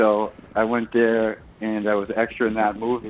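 Spoken at a moderate pace in an American accent, with noticeable background noise behind the voice. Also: man. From Massachusetts, Burlington. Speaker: musician and actor. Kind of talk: radio interview.

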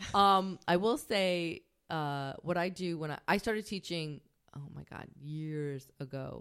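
Speaking in a Long Island accent, a woman uses a fairly low pitch, ordinary pitch variation and a fairly slow pace. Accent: Long Island New York. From Long Island, New York. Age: 20s. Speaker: comedian. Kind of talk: casual chat, podcast interview.

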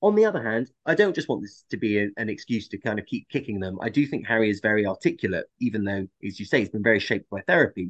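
A man with a fairly low pitch talks at a very fast pace with hardly any pauses and ordinary pitch variation, recorded dry and close with no echo against a quiet background. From England. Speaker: podcast co-host and historian. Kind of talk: casual chat.

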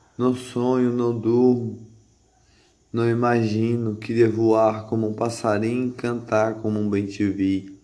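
A man's dark, mellow tone at medium pitch, very slow pace and monotone, flat intonation, with audible room echo. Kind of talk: spoken word monologue. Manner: repetitive, rhythmic.

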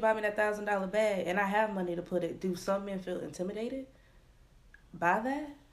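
A woman speaks at a fairly quick pace with a medium pitch and ordinary pitch variation. Room echo is audible. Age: 20s. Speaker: podcast co-host. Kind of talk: casual chat. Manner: harsh tone.

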